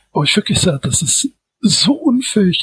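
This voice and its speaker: Dry, close sound with no echo on a man talking at a moderate pace. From Düsseldorf, Germany. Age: 60s. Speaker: science fiction author and editor. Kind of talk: casual interview.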